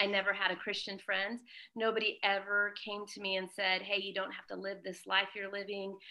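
A woman in a Californian accent, medium-pitched and monotone with flat intonation, at a fairly quick pace with big swings in loudness. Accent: Californian American. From Southern California. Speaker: missionary, founder of a charity. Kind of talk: interview testimony.

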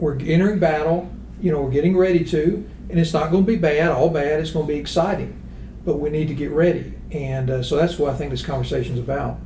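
Over noticeable background noise and audible room echo, a man talks at a very fast pace with a fairly high pitch and fairly even intonation. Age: 60s. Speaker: accounting firm founder. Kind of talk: casual discussion.

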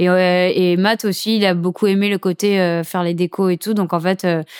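The voice is monotone with flat intonation, recorded very cleanly against a silent background, dry and close with no echo. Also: woman. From Saint-Martin (Caribbean). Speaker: professional surfer. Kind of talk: casual interview. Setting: recorded at guest's home. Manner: casual, slangy.

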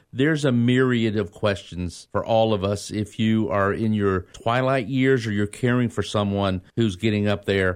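An ordinary speaking voice moves at a moderate pace with hardly any pauses, fairly even intonation, and very even loudness against a quiet background. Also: man, fairly low pitch for a man. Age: 40s. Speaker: radio host. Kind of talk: radio interview. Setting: studio.

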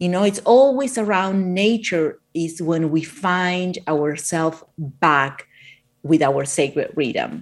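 In an Argentinian accent, a woman with a fairly low pitch speaks at a very slow pace using lively intonation. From Argentina. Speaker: author of a plant-based cookbook. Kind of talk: interview about her book. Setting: video call, remote from Miami.

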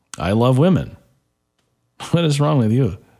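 Speaking with a Midwestern American accent, a man keeps a moderate pace. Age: 40s. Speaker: talk radio host. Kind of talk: talk radio monologue.

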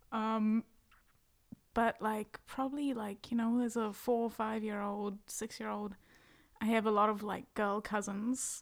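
Soft-spoken and fairly high-pitched, a woman talks in a monotone, flat intonation in a very clean recording with a silent background. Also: fairly slow pace. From South Africa. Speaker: singer-songwriter. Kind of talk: casual chat.

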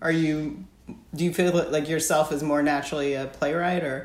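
A woman is talking. Her words carry audible room echo. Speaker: podcast host. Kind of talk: interview.

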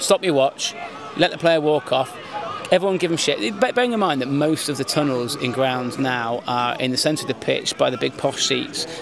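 Over noticeable background noise, a man speaks at a fairly high pitch and a moderate pace with lively intonation. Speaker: podcast host. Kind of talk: casual banter.

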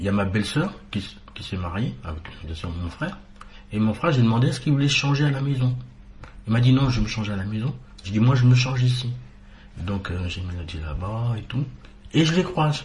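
Audible room echo carries a man's lively intonation. He talks at a fairly quick pace but with long, frequent pauses. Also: medium pitch for a man. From Martinique. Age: 40s. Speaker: painter, guest. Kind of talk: interview.

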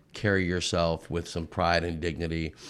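A man with an American accent speaks in a very deep, low voice on a very clean recording with a silent background. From Southern California. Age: 40s. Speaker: car salesman. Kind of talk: casual chat. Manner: halting.

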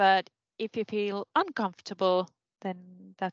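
A woman speaks with a Finnish accent. The sound is dry and close with no echo, and the background is quiet. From Finland. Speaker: senior lecturer. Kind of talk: casual chat. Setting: video call.

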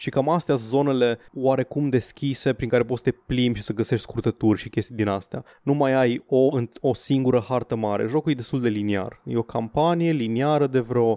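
A man with an ordinary speaking voice, fairly quick, with hardly any pauses and fairly even intonation. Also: medium pitch for a man. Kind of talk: mock pitchman patter, comedic skit.

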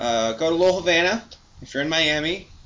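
Amid noticeable background noise, a man with a fairly high pitch talks at a moderate pace with lively intonation. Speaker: beer podcast co-host. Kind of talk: casual chat.

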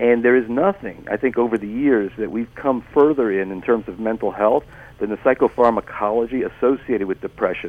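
The speaking rate is fairly quick. It is a plain, everyday voice. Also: man. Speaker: doctor. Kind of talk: radio interview.

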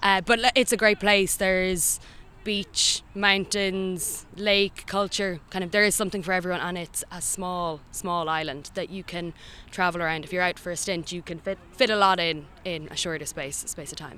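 A woman with a Dublin accent speaks at a moderate pace and medium pitch, her tone bright and sharp. Her intonation is fairly even, but her loudness swings widely. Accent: Irish (Dublin). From Ireland, Dublin. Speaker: language student and amateur Gaelic player. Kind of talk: interview.

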